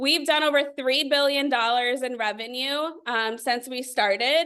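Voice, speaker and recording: A woman uses a raised, projected voice with a bright, sharp tone and high pitch at a fairly slow pace. Her pitch variation is ordinary, and the background is quiet. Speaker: network marketing leader. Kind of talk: sales pitch. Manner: animated.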